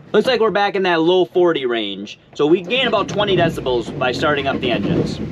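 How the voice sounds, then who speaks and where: Against noticeable background noise, a man talks at a fairly quick pace in a high pitch with very wide pitch swings. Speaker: boating video creator. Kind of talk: tutorial. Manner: loud.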